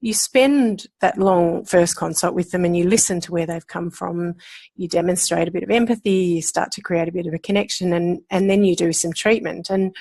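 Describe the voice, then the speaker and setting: A woman with an Australian accent, fairly low in pitch, her tone dark and mellow, at a moderate pace with hardly any pauses and fairly even intonation, in a very clean recording with a silent background. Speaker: osteopath and pain management lecturer. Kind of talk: interview.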